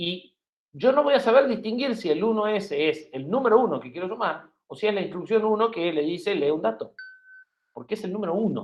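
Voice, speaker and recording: Speaking at a fairly quick pace, a man with a high pitch uses lively intonation and big swings in loudness. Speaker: university lecturer. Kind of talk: lecture.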